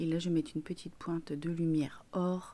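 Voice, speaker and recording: A woman with a dark, mellow tone and a fairly low pitch speaks at a fairly slow pace, her pitch varying in an ordinary way. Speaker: beauty vlogger. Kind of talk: makeup tutorial. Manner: casual, chatty.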